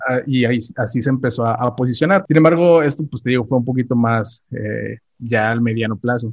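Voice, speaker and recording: A man speaks in a normal speaking voice at medium pitch with ordinary pitch variation. His pace is fairly quick, with hardly any pauses. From Mexico, Tamaulipas. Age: 30s. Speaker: online seller. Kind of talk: casual interview.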